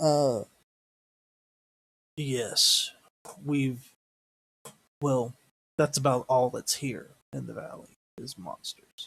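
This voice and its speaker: A man puts on a raspy character voice at a medium pitch. He talks very slowly with long, frequent pauses, and the sound is dry and close with no echo. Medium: actual play.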